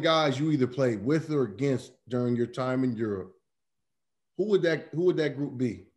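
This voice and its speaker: Against a quiet background, a man talks at medium pitch in a dark, mellow tone with ordinary pitch variation. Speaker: podcast co-host. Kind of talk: casual chat. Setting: video call. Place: home room. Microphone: video call.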